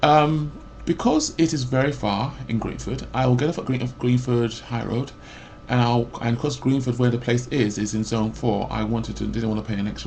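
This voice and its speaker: A man talks with fairly even intonation, his voice carrying audible room echo. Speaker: vlogger. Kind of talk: personal rant. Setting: webcam recording. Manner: loud; rambling with false starts.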